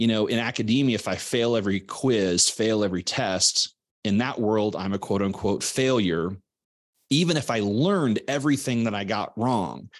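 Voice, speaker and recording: With an American accent, a man talks at medium pitch and a moderate pace in a plain, everyday voice, using ordinary pitch variation. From US Midwest, Southwest Missouri. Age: 40s. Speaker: business coach and podcaster. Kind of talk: interview conversation. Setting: call.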